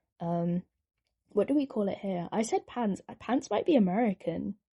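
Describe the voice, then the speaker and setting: A woman with a medium pitch and a dark, mellow, somewhat breathy tone speaks at a moderate pace with lively intonation, recorded dry and close with no echo. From Britain. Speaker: artist and new video maker. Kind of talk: casual commentary over drawing. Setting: at home by a window. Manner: rambling, hesitant with many fillers.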